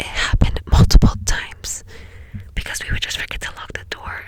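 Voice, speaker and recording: A woman is whispering at a moderate pace over noticeable background noise. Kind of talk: ASMR whisper ramble. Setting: inside a parked car. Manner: whispered, soft-spoken.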